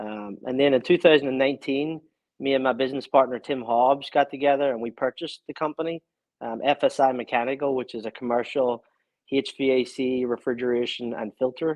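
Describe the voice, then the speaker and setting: At a fairly quick pace, a man with a Northern Irish accent speaks with fairly even intonation. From Northern Ireland, Belfast. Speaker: small business owner. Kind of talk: casual interview.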